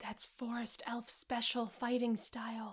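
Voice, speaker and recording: A woman whispers in a put-on character voice. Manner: whispering.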